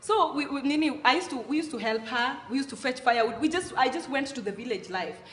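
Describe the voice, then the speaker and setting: Lively intonation in a Kenyan accent. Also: woman. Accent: Kenyan Luo accent, proud of it. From Kenya, Nairobi (Mathare) and Kisumu. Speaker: content creator on African culture. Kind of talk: interview. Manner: casual, halting with self-corrections.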